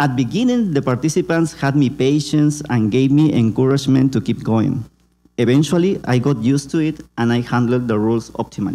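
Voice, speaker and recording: Fairly quick and very even in loudness, a man speaks at a medium pitch in a dark, mellow tone with ordinary pitch variation. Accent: Peruvian. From Peru. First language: Spanish. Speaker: community organizer and meme creator. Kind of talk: conference presentation. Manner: halting.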